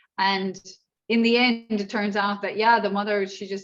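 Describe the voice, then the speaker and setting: Talking fairly fast in an Irish accent, a woman keeps a monotone, flat intonation. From Ireland. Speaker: martial arts instructor and inclusion trainer. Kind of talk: workshop Q&A.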